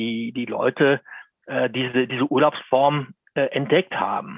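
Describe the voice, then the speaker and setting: Using an ordinary speaking voice, a man at medium pitch talks at a fairly slow pace with ordinary pitch variation. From Lower Bavaria, Germany. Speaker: motoring journalist. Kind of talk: interview.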